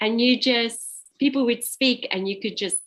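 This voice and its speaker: A woman speaks with a South African accent. Her pitch is fairly high and her pace moderate. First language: Afrikaans. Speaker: invited speaker. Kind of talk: informal talk.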